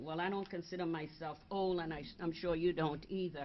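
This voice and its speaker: A woman with a Virgin Islands accent. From US Virgin Islands. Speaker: advocacy organization board member. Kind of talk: seminar presentation. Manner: halting.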